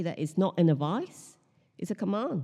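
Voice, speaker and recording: A woman speaks at a medium pitch in a dark, mellow tone with lively intonation. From Hong Kong. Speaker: pastor. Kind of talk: sermon. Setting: church.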